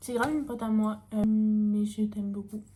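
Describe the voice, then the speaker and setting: This woman's voice has a dark, mellow tone, a somewhat breathy quality and a monotone, flat intonation. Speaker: youtuber. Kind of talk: casual Q&A vlog. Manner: casual with many fillers.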